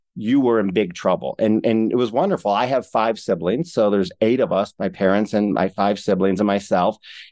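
A man with an American accent talks at a fairly quick pace with hardly any pauses, his pitch fairly low and its variation ordinary, in an unremarkable speaking voice. His loudness stays very even, and the recording is very clean with a silent background. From Ohio, Cleveland. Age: 50s. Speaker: entrepreneur. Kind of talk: interview.

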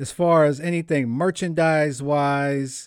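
A very slow man with a fairly high voice and an American accent, on a very clean recording with a silent background. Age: 30s. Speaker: podcast host and rapper. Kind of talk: casual chat.

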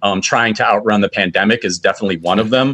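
A man with a plain, everyday voice speaks at a fairly low pitch. He has an American accent. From Michigan, Macomb County. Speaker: film festival organizer. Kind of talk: casual interview.

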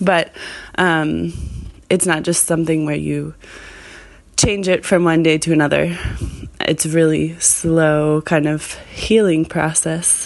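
With long, frequent pauses, a woman speaks at a very slow pace in a very deep, low pitch and monotone, flat intonation. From Argentina, Buenos Aires. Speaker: listener. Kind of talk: voicemail message. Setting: recorded voice message.

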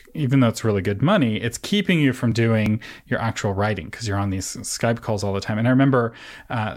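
The recording is very clean, with a silent background. A man with a normal speaking voice talks at a fairly quick pace and medium pitch. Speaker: podcast host. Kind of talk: interview conversation.

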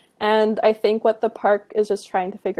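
A woman's dark, mellow tone at a moderate pace, with a western Canadian accent. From Canada, British Columbia (Kamloops). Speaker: graduate student, wildlife biologist. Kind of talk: interview.

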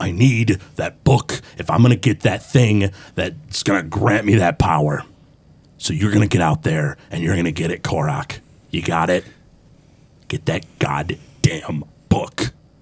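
In a put-on character voice, a man speaks loud and gruff at a very deep, low pitch, with lively intonation and a moderate pace. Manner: angry, demanding, loud.

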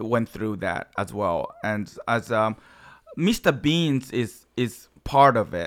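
Speaking very slowly with a strong Japanese accent, a man uses a medium pitch and lively intonation. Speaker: improv comedian and actor. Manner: halting, broken English.

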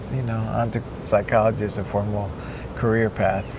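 A man of medium pitch at a fairly quick pace, with audible room echo and noticeable background noise. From Cuba. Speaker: neuropsychologist and surfer. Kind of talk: interview. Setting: outdoors by the ocean.

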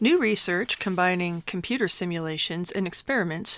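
In a very clean recording with a silent background, a woman with a normal speaking voice talks at medium pitch and a moderate pace. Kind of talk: news reading.

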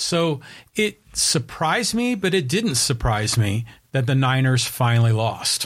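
A somewhat breathy voice with lively intonation moves at a fairly slow pace with very even loudness, in a very clean recording with a silent background. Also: man, medium pitch for a man. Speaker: co-host. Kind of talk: sports talk show banter.

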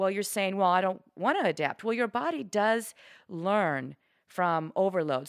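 Animated in tone, a woman speaks at a moderate pace and a medium pitch with ordinary pitch variation. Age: 50s. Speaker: fitness trainer and podcast host. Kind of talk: solo educational talk.

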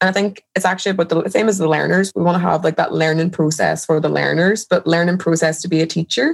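A woman with a fairly low voice and vocal fry speaks at a very fast pace, hardly pausing at all. Her loudness stays very even, and her intonation is fairly even. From Northern Ireland, Derry. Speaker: educator. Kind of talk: interview.

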